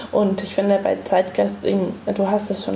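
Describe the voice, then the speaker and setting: Over noticeable background noise and audible room echo, a woman speaks at a fairly slow pace. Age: 30s. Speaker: museum researcher and podcast host. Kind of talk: casual chat.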